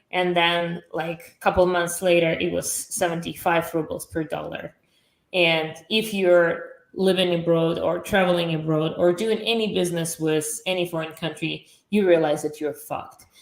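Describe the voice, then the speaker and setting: A woman's fairly low voice in a Russian accent, monotone and flat, at a moderate pace. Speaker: entrepreneur. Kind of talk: podcast interview.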